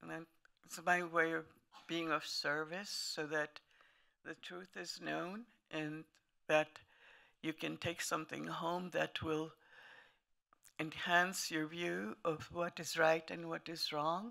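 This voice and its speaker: With a German accent, a woman speaks very slowly with long, frequent pauses, a very deep, low pitch, a bright, sharp tone and fairly even intonation, in a very clean recording with a silent background. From Lithuania, later Italy. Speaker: Holocaust survivor. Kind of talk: testimony. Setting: museum talk to an audience.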